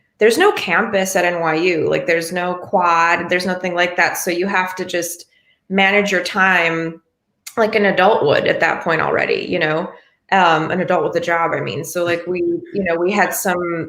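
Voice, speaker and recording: With an American accent, a woman talks at a fairly low pitch in a monotone, flat delivery. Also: moderate pace. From Buffalo, New York, US Northeast. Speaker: singer-songwriter. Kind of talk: interview.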